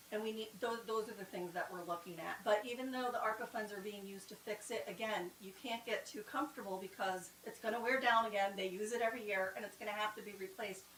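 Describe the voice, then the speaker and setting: The speech runs at a very fast pace with hardly any pauses and fairly even intonation, over noticeable background noise. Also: woman, fairly high pitch for a woman. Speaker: town strategic planning presenter. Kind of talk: public meeting presentation.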